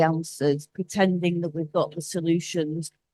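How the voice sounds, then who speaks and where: With a northern English accent, a woman speaks at a moderate pace in a dark, mellow tone, with a dry, close sound and no echo. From northern England. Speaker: cultural relations executive, conference panelist. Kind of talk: conference panel talk. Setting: conference stage with audience. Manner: halting, with repetitions.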